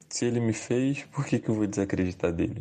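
A man's dark, mellow voice, with ordinary pitch variation, is heard against a quiet background. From Rio de Janeiro, Baixada Fluminense. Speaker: youth church worker and theology student. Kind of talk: recorded contribution on race and faith.

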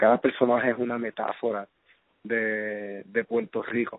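The man holds a medium pitch, his intonation monotone and flat. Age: 30s. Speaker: filmmaker. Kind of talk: casual interview. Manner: halting, many fillers.

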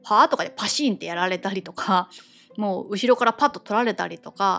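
A woman with a normal speaking voice talks at a medium pitch and a fairly quick pace. Her intonation is lively. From Japan. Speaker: podcast host, expat wife. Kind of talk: solo casual monologue. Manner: conversational, chatty.

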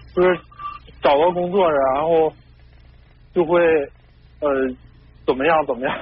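Noticeable background noise sits behind a man who speaks fairly slowly at a fairly high pitch with fairly even intonation. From Heilongjiang, northeast China. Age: 30s. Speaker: caller. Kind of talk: advice call-in. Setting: phone call. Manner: halting.

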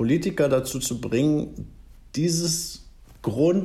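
With vocal fry and a calm tone, a man talks in a room with audible echo. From Germany, raised partly in Bavaria and Schleswig-Holstein. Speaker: singer-songwriter. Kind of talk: interview. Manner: halting.

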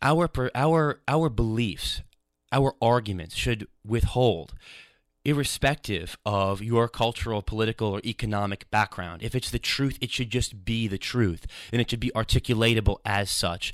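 A man with a plain, everyday voice and an American accent, medium in pitch with ordinary pitch variation, at a moderate pace, in a very clean recording with a silent background and a dry, close sound with no echo. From New York. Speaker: student radio host. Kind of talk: radio interview and commentary. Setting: radio studio.

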